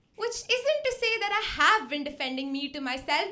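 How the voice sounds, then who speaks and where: A woman's raised, projected voice has a bright, sharp tone. She moves at a fairly quick pace with very wide pitch swings. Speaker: poet. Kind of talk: spoken word poetry performance. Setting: stage with audience. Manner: loud.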